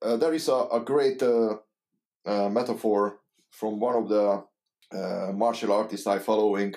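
With a Hungarian accent, a man speaks at a fairly slow pace in a fairly low pitch, his tone dark and mellow. His loudness stays very even and his intonation fairly even. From Hungary. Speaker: saxophonist and composer. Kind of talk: casual interview. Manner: halting.

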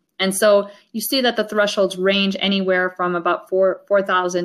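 An ordinary speaking voice, moderately paced, its intonation fairly even. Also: woman. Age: 50s. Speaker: mathematics professor. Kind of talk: interview.

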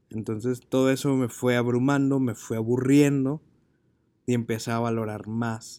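Monotone, flat intonation from a man, medium in pitch with a dark, mellow tone. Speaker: podcast host and marketing teacher. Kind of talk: personal monologue.

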